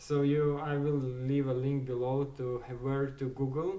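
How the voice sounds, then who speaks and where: Over noticeable background noise and audible room echo, a man speaks fairly slowly at a medium pitch with monotone, flat intonation. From Ukraine. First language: Ukrainian or Russian. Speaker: small business owner / vlogger. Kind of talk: casual tutorial talk. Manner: halting, many fillers.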